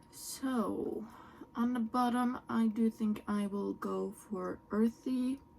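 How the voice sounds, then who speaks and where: A woman speaks at a very slow pace with a fairly high pitch. She has a Norwegian accent. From Norway. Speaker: beauty YouTuber. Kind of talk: makeup tutorial and product review. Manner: animated.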